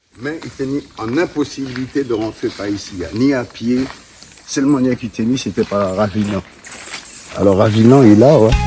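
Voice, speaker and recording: Noticeable background noise surrounds a man of medium pitch who speaks with long, frequent pauses. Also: ordinary pitch variation, moderate pace. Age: 60s. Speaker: local guide. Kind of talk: casual chat. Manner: halting.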